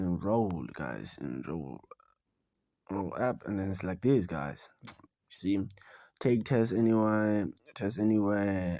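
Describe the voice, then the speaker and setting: A man with a non-native accent speaks at a very slow pace in a dark, mellow tone, his fairly low voice broken by long, frequent pauses. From South Africa. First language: not English. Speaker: online money-making video maker. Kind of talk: screen-recorded tutorial. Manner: casual, halting with fillers.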